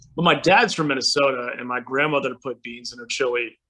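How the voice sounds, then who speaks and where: In an American accent, a man speaks with a bright, sharp tone. His pitch is medium and his intonation fairly even. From Texas (Houston). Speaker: singer-songwriter. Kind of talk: casual chat.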